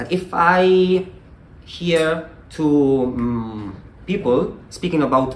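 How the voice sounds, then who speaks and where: A man with an Italian accent speaks in a fairly high voice with very wide pitch swings. Audible room echo is present. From Italy. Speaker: Latin and Greek teacher. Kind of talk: conference talk. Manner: halting.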